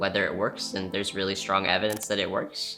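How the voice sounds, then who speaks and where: A man's fairly low, fairly evenly intoned voice with music in the background. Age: 20s. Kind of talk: interview answer.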